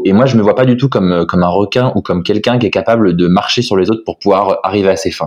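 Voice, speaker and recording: A man uses an ordinary speaking voice at a fairly low pitch with lively intonation. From France (Lille, then Nantes). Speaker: guest. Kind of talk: casual chat. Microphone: cheap earphones mic, sounds good.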